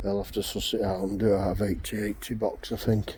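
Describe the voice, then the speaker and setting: A fairly low-pitched man with a Yorkshire accent at a moderate pace, against noticeable background noise. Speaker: fencing contractor. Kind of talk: casual vlog commentary.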